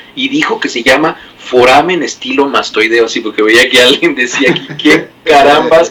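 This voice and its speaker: A man speaks at a moderate pace with a fairly high pitch and ordinary pitch variation. He hardly pauses, and background noise is noticeable. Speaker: medical doctor. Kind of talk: medical explainer chat.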